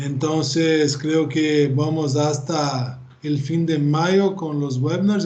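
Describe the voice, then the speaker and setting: With a Brazilian accent, a man speaks at a fairly high pitch and fairly even intonation, and audible room echo surrounds him. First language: Portuguese (speaking Spanish). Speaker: professor. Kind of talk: lecture. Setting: video call. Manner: halting.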